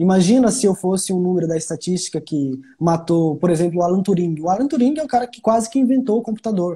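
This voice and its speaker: With a dark, mellow tone, the voice moves at a fairly quick pace with lively intonation. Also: man. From Brazilian Northeast. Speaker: psychologist. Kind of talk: casual live chat interview. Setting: Instagram live. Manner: fast.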